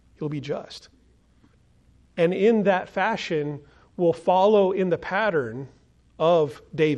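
This man talks at a very slow pace with long, frequent pauses. His American accent carries a high pitch and ordinary pitch variation. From United States. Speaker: pastor. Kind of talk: sermon.

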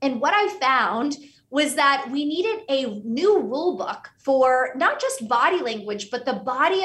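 A woman speaks with an American accent and a bright, sharp tone. Her intonation is lively and her pace moderate. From US, Pittsburgh, Pennsylvania. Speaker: author and consultant. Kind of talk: interview.

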